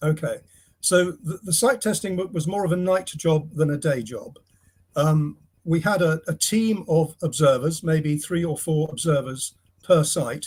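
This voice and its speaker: A man with an English accent talks at a fairly slow pace, his pitch fairly high. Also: ordinary pitch variation. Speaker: retired astronomer, site tester. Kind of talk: interview. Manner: halting; quiet. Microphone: too quiet at first.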